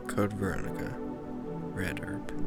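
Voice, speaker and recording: Over music in the background, a man speaks in a soft-spoken, gentle tone. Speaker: ASMR creator. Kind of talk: ASMR wiki reading. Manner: gentle, soft-spoken.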